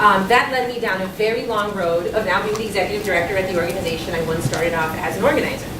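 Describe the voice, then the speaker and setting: A woman talking at a very fast pace with ordinary pitch variation, audible room echo and noticeable background noise. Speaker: community organization director. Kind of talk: talk to an audience. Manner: loud.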